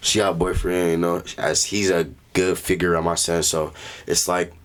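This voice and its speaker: Very deep, low pitch marks this man's voice. He speaks with monotone, flat intonation. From Tukwila, Washington, US. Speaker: rapper. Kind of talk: casual chat.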